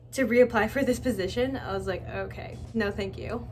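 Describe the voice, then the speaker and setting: Her speech moves at a medium speed. The room adds a clear echo around her. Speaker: vlogger, recent graduate job hunting. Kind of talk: casual vlog monologue. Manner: animated, conversational.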